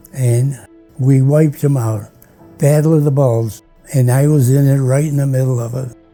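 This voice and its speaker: A man's medium-pitched voice with an American accent, monotone and flat at a moderate pace, with music in the background. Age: 80s+. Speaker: WWII pilot and war veteran. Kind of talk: interview answer.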